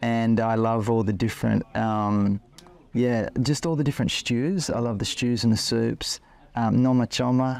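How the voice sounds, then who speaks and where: Speaking at a moderate pace with very even loudness, a man with an Australian accent holds a medium pitch and fairly even intonation. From Australia, Queensland (Ipswich near Brisbane). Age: 40s. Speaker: interviewee, husband in couple. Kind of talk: interview, casual conversation. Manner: hesitant with fillers (um, like).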